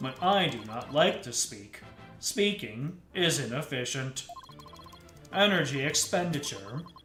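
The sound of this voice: A robotic, put-on character voice speaks at a fairly slow pace over clear background music. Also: man, fairly high pitch for a man.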